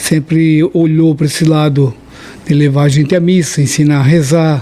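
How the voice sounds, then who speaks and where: At a very slow pace, a man talks with a fairly high pitch. Noticeable background noise runs underneath. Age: 60s. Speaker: religious podcast guest. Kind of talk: podcast interview.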